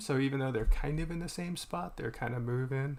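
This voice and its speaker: Somewhat breathy and mumbling, a man talks at a fairly quick pace. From Boston, US. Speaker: artist streaming while drawing. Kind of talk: casual live-stream chat. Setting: live stream. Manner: halting, many fillers.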